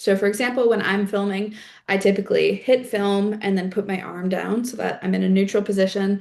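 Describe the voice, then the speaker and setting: With a slight East Coast Canadian accent, a woman talks at a fairly quick pace. Her intonation is fairly even over a quiet background. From Prince Edward Island, Canada. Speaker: climate organizer and content creator. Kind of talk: workshop tutorial. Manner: casual, many filler words.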